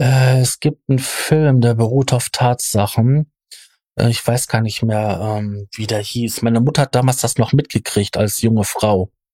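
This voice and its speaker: A man with a dark, mellow tone and medium pitch speaks at a fairly slow pace, somewhat breathy, with fairly even intonation. The sound is dry and close with no echo, on a very clean recording with a silent background. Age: 40s. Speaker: podcast host. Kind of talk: casual discussion. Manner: hesitant, many filler sounds.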